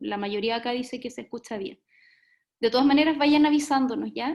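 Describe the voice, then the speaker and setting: A soft-spoken woman with a high pitch and fairly even intonation, against a quiet background. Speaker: webinar moderator, early childhood professional. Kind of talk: online talk moderation. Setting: video call.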